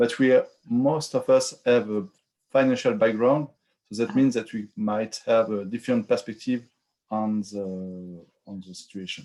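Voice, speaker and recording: In a French accent, a man speaks in a dark, mellow tone with ordinary pitch variation and big swings in loudness. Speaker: finance working group lead presenting a proposal. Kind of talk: online community call presentation.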